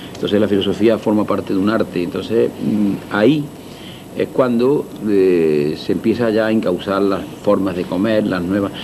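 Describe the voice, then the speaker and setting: Noticeable background noise sits behind this man's voice. He speaks at a fairly low pitch and a fairly slow pace. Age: 60s. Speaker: restaurateur. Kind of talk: interview. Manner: halting.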